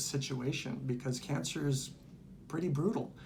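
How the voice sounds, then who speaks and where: Somewhat breathy, a man speaks at a moderate pace with audible room echo. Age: 60s. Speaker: retired pastor and cancer survivor. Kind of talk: testimony. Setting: infusion center. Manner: hesitant, many fillers.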